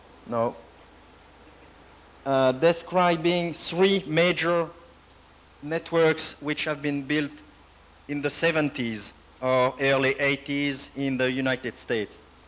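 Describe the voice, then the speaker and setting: With a non-native accent, a man speaks very slowly at a fairly high pitch, with ordinary pitch variation and long, frequent pauses. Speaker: computer network project director. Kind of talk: lecture. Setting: university presentation with audience. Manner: formal, some hesitation.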